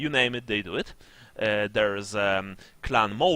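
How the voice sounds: Natural reading voice, nothing more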